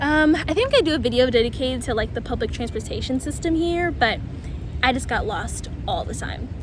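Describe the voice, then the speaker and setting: An animated woman's voice with an American accent, a fairly quick pace, noticeable background noise and audible room echo. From US Mid-Atlantic (DC, Maryland, northern Virginia). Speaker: vlogger. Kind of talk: casual Q&A vlog. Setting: outdoors.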